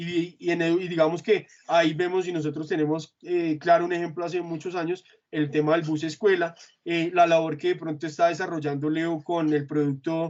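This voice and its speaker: A man's high-pitched voice moves along at a moderate pace. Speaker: corporate trainer presenting consumer trends. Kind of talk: internal work presentation. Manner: hesitant, many fillers.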